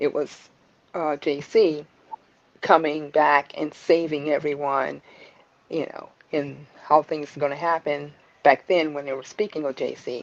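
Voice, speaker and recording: The speech moves at a fairly slow pace with fairly even intonation, big swings in loudness and long, frequent pauses. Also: woman, very deep, low pitch for a woman. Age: 60s. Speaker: Bible study participant. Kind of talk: religious discussion.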